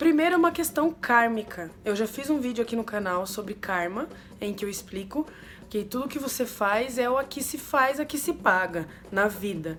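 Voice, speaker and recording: A fairly high-pitched woman at a moderate pace, with very wide swings in pitch. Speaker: umbanda religious youtuber. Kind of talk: casual explanatory vlog.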